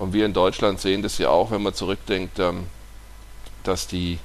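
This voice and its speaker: A man's very deep, low-pitched voice with vocal fry. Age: 40s. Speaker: naturopath. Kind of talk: podcast monologue.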